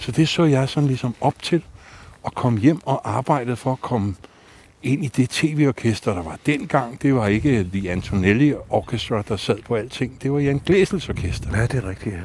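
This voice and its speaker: This man has an unremarkable speaking voice, a medium pitch and lively intonation, and he talks at a fairly slow pace. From Denmark, North Zealand (Allerød). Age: 50s. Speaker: bassist and psychotherapist. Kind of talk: casual chat. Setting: outdoors.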